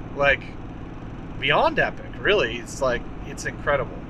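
The sound is dry and has no echo. A man talks over noticeable background noise. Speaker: vintage truck channel host. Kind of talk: casual vlog chat. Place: car. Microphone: phone near.

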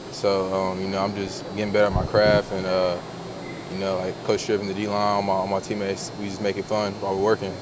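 Speech at a very fast pace, with noticeable background noise. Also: man. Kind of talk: interview answer. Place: hall. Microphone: phone near.

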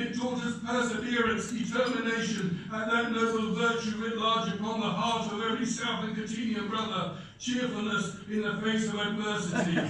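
A man's high-pitched, monotone voice at a moderate pace, with flat intonation, strong room echo, and noticeable background noise. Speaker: club president. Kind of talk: competition speech. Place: hall. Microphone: camera far.

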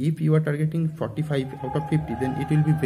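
A somewhat breathy male voice at a moderate pace. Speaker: exam coaching student. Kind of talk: casual advice talk. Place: home room. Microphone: phone near.

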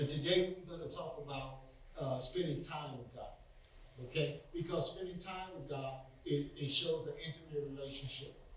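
Noticeable background noise behind a man with fairly high pitch, fairly even intonation and a moderate pace. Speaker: preacher. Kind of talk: sermon. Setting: online video message, church. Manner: earnest, encouraging, exhortative; repetitive, stumbling on words.

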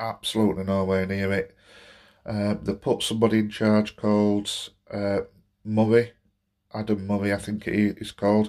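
A man talks at a moderate pace in a fairly low pitch, with monotone, flat intonation. Long, frequent pauses break up his speech against a quiet background. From Barnsley, South Yorkshire. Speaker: football fan and gaming vlogger. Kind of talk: angry football rant vlog. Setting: solo home recording to camera. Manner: venting, exasperated, fed-up; rambling, hesitant with many fillers. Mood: frustrated, disappointed. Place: home room. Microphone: phone near.

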